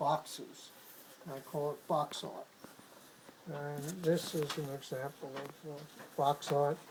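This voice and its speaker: The speaker is a man with a New York accent. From Brooklyn, New York. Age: 70s. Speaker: painter. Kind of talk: interview. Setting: artist's studio. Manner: halting.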